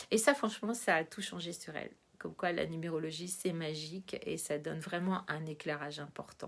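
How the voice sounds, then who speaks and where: The recording is very clean with a silent background as a woman delivers her words at a moderate pace. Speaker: numerologist and coach. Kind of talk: informal educational monologue to camera. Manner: hesitant, many filler sounds.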